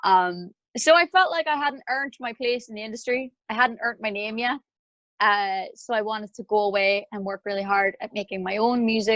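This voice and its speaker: A woman with a Northern Irish accent speaks at a fairly quick pace and fairly high pitch, with ordinary pitch variation. Her loudness swings widely, and the sound is dry and close with no echo. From Northern Ireland. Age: 20s. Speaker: singer-songwriter. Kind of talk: interview conversation.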